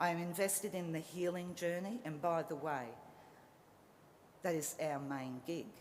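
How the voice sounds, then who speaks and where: Speaking at a moderate pace with audible room echo, a woman with an Australian accent has a very deep, low pitch and ordinary pitch variation. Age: 50s. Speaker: social worker. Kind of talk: graduation speech. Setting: stage with audience. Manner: passionate.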